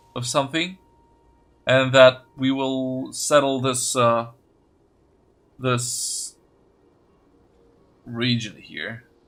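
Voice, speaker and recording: Speaking at a very slow pace, a man uses a medium pitch and a non-native accent. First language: not English. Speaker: gaming video creator. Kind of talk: let's play commentary. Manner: halting, stuttering.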